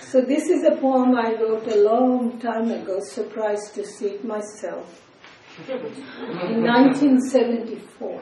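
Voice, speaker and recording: With a Bengali accent, a woman speaks at a fairly high pitch with fairly even intonation, amid audible room echo and noticeable background noise. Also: fairly slow pace. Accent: Indian English (Bengali). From India, West Bengal (Kolkata). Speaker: poet and professor. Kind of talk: poetry reading.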